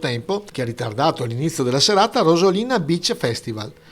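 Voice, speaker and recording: Very wide pitch swings mark this man's fairly high voice. He talks at a fairly quick pace. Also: very clean recording, silent background. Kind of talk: local news report narration.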